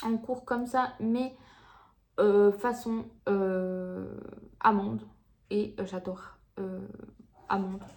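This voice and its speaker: A woman's medium-pitched, fairly even voice at a very slow pace, with long, frequent pauses. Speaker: beauty vlogger. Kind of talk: casual vlog chat to camera. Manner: hesitant, many fillers.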